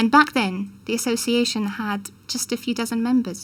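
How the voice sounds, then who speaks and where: With a Polish accent, a woman speaks at a moderate pace in a somewhat breathy, fairly high voice with fairly even intonation. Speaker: conference interpreter, professional association head. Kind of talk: formal speech. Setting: ceremony with audience. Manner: formal.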